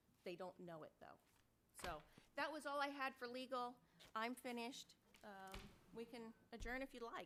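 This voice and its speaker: Loud and animated, a woman speaks at a high pitch in a bright, sharp tone with ordinary pitch variation, at a moderate pace with long, frequent pauses. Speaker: city council member. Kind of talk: heated debate.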